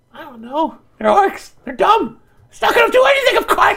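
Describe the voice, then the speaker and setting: A put-on character voice sits at an extremely high pitch and swings very widely up and down. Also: moderate pace. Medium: actual play. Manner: fast, bossy, scheming.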